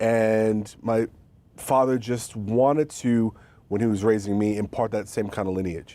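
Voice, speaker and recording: A man with a New York accent speaks at a fairly slow pace in a fairly low, dark, mellow voice with fairly even intonation. The recording is very clean, with a silent background. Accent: New York (Queens). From New York City, Queens. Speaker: author and college professor. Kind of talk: interview conversation. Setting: TV studio.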